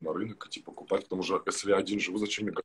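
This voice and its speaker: This is a man's voice. It sits at a fairly low pitch. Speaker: live stream guest; guest. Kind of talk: casual chat. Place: home room.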